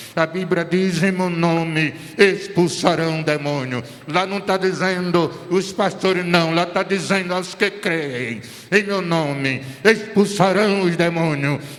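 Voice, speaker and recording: There is audible room echo and noticeable background noise as a man with a high pitch and ordinary pitch variation talks at a very slow pace. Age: 70s. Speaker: pastor. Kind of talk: sermon.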